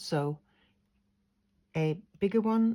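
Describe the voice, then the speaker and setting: Somewhat breathy, a woman's voice carries a dark, mellow tone and lively intonation. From Sweden. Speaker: craft tutor. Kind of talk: tutorial.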